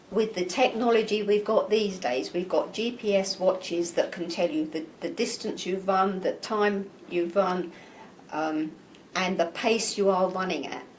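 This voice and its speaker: Over noticeable background noise, a woman with an English accent speaks at a fairly slow pace. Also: medium pitch for a woman, ordinary pitch variation. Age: 60s. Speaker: amateur marathon runner. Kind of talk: interview.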